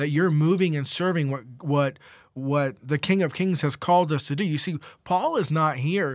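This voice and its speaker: A plain, everyday voice from a man, fairly high in pitch, with ordinary pitch variation, on a very clean recording over a silent background. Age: 20s. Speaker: co-host. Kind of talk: devotional discussion; reading aloud.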